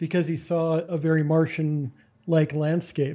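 A man talks with a fairly high pitch. His tone is dark and mellow. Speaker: podcast host, historian. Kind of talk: casual chat.

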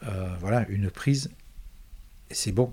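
This man's voice is somewhat breathy and fairly low in pitch. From Provence, France. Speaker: musician and composer. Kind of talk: interview. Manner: halting, repeats words.

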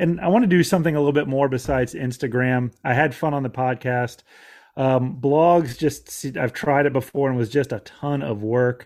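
On a very clean recording with a silent background, a man talks at a fairly quick pace. He has an unremarkable speaking voice at a medium pitch with ordinary pitch variation. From Florida. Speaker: outdoor podcaster and conservation advocate. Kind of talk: interview.

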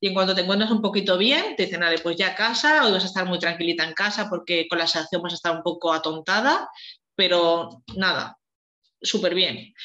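Bright and sharp in tone, a woman speaks fairly quickly at a medium pitch with ordinary pitch variation. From Spain, Valencia. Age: 30s. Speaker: fertility patient sharing her story. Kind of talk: testimony.

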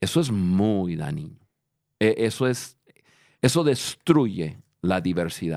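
A man with a fairly low pitch and very wide pitch swings, at a very slow pace with long, frequent pauses, on a very clean recording with a silent background. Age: 50s. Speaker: leadership podcast host. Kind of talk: casual chat. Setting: studio.

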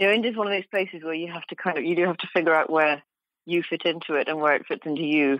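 A woman with a British accent speaks at a very fast pace in a very deep, low pitch. Her pitch variation is ordinary. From UK. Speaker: journalist and travel author. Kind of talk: interview.

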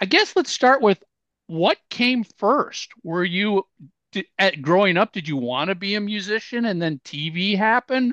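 A man with an American accent projects a bright, sharp voice at a high pitch, fairly slowly and with lively intonation. The background is quiet and the sound is dry and close, with no echo. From Minneapolis, US Midwest. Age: 50s. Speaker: podcast host. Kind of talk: interview.

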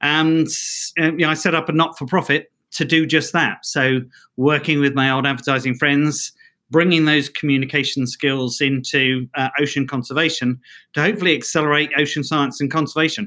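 This man's voice is fairly high and bright, with a sharp edge. He keeps a moderate pace and fairly even intonation. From London, England. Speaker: ocean conservation founder. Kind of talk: casual interview chat. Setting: remote call.

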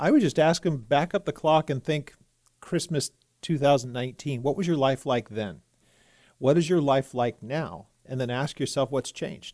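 With an American accent and a normal speaking voice, a man talks at a moderate pace and a fairly high pitch with ordinary pitch variation, recorded with a dry, close sound with no echo against a quiet background. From California. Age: 50s. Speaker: pastor. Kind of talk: casual studio talk show discussion. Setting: radio studio.

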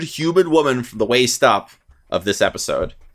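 Over a silent background on a very clean recording, a man talks at a moderate pace with very wide pitch swings. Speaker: podcast host. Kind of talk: casual banter, playful horror-themed chat. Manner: playful, conversational.

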